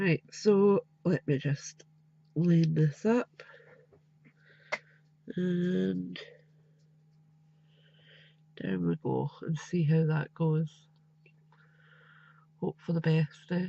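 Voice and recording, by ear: A woman talks at a very slow pace and low pitch, nasal with vocal fry and a dark, mellow tone, taking long, frequent pauses. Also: lively intonation, dry, close sound with no echo.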